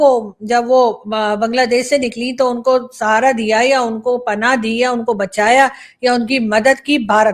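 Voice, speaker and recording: A woman talks at a fairly slow pace, and the recording is very clean with a silent background. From Pakistan. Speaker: political commentator, YouTuber. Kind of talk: opinion monologue.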